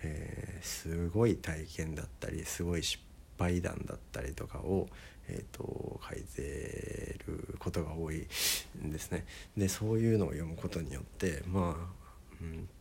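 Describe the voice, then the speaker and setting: Against audible room echo, a man speaks fairly slowly in a very deep, low, dark and mellow voice that is somewhat breathy. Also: ordinary pitch variation. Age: 20s. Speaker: musician and podcaster. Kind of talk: casual solo talk. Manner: many filler words.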